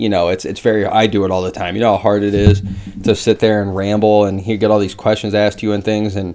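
A man with a fairly low voice talks at a very fast pace in a flat, monotone way. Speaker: MMA show host. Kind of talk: commentary. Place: home room. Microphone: webcam.

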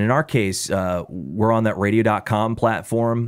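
A man's fairly low voice, a plain, everyday voice, at a moderate pace, on a very clean recording with a silent background. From Illinois Midwest, raised in a small town. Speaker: radio broadcaster, sports radio programming director and voiceover artist. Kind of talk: casual podcast interview answer.

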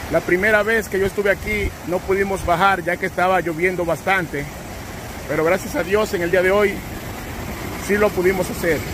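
Against noticeable background noise, a man with a high-pitched voice talks at a moderate pace, leaving long, frequent pauses. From Dominican Republic. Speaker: travel vlogger. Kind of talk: travel vlog narration. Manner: animated.

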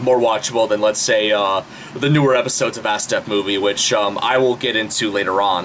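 A man with a plain, everyday voice speaks fairly quickly in a fairly low pitch, his intonation fairly even and his loudness very even. Light background noise can be heard. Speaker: YouTube channel host. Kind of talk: casual vlog chat. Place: home room. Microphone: webcam.

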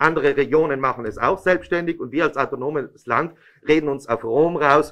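A man delivers his words at a moderate pace and fairly even intonation, with a quiet background. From Italy. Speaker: regional politician. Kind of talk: press conference statement. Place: meeting room. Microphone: podium.

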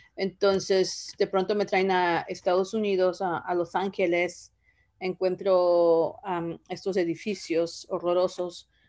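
The voice has a dark, mellow tone and monotone, flat intonation at a fairly slow pace. The background is quiet. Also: woman. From Zoogocho, Oaxaca, Mexico. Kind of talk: casual interview about her life story. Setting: video call. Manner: hesitant, with repetitions and fillers. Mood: reflective, grateful. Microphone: video call.

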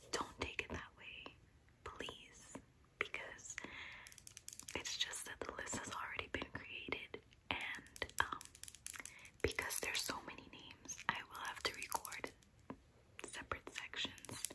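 A soft-spoken woman whispering at a fairly slow pace, with long, frequent pauses. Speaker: content creator. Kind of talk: casual vlog chat. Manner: soft close-up ASMR whisper. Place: home room.

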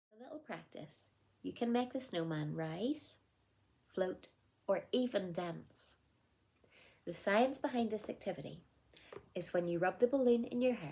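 A woman speaks at a moderate pace with a medium pitch, a dark, mellow tone and an upbeat tone. Her voice is somewhat breathy, her pitch swings very widely, and she takes long, frequent pauses. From Northern Ireland. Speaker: primary school teacher and circus performer; primary school teacher. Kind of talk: children's craft tutorial to camera. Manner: upbeat, friendly. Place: home room. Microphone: phone near.

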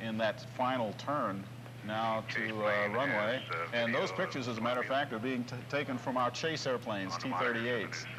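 A man's speech at a moderate pace with fairly even intonation, against noticeable background noise.

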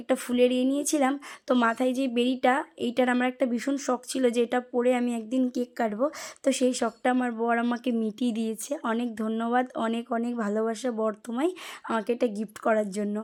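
A woman's high-pitched, monotone voice with flat intonation, on a very clean recording with a silent background. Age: young. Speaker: lifestyle vlogger. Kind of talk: vlog voice-over. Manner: casual, repetitive fillers.

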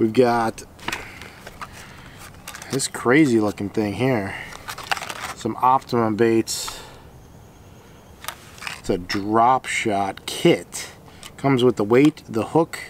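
A man at a very slow pace, with long, frequent pauses, ordinary pitch variation, a dry sound with no echo and light background noise. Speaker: fishing vlogger. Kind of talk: casual unboxing commentary. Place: garden. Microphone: phone near.

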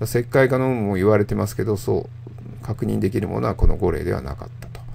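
Noticeable background noise fills the recording, along with audible room echo. Through it, a man speaks. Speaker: radiologist. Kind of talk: lecture. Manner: calm, measured with frequent filler pauses.

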